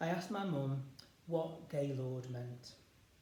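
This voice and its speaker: A man is heard over noticeable background noise. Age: 40s. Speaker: spoken word performer. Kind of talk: spoken word monologue.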